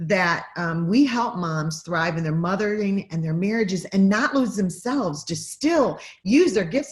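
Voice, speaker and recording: At a fairly slow pace, a woman talks in a medium-pitched, somewhat breathy voice. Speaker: podcast host and mom mentor. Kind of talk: interview intro, casual chat. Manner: animated.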